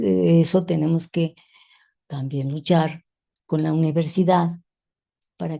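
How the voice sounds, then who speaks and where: A woman speaks very slowly in a very deep, low pitch with a dark, mellow tone. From Mexico City. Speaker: feminist educator. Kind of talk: interview conversation. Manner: halting.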